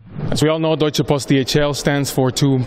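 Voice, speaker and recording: Noticeable background noise is present. A man talks over it at a fairly quick pace. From Honduras, Tegucigalpa. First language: Spanish. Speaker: corporate strategy manager. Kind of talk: interview. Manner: hesitant, frequent fillers.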